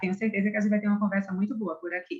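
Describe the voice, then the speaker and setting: A woman with a Pernambuco accent speaks at a medium pitch with ordinary pitch variation. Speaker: orthodontics professor. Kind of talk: interview.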